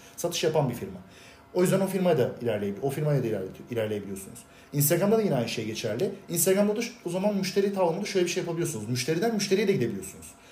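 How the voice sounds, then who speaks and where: A man speaks very fast in a high pitch, with very wide pitch swings. There is audible room echo. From Turkey, Bursa. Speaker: export sales professional. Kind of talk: casual chat.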